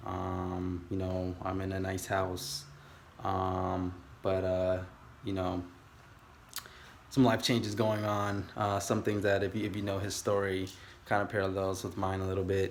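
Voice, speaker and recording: With an American accent and monotone, flat intonation, the speaker talks at a fairly slow pace with long, frequent pauses amid audible room echo. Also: man, very deep, low pitch for a man. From California. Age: 30s. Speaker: aspiring day trader vlogger. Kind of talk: casual vlog monologue. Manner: halting, many fillers.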